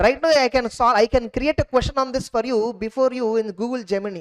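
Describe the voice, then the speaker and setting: Speaking at a very fast pace, a woman with a fairly high pitch comes through in a dry, close sound with no echo. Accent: Indian. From India, Telugu-speaking region. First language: Telugu. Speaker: CA exam teacher. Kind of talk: lecture. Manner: halting.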